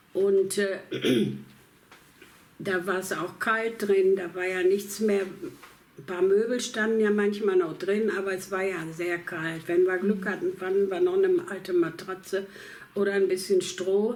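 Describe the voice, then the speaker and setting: A woman speaks at a medium pitch and a fairly slow pace, her intonation fairly even, with noticeable background noise behind her. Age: 80s+. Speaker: war refugee. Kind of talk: interview answer. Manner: hesitant, with many fillers.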